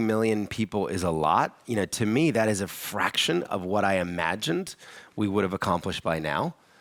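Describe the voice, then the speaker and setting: A man's animated tone with an American accent. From US Northeast, Philadelphia area. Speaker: charity founder. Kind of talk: onstage interview.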